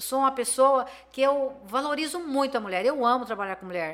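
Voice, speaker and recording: A woman's high-pitched voice. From Brazil, Campo Grande, Mato Grosso do Sul. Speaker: businesswoman. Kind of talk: interview.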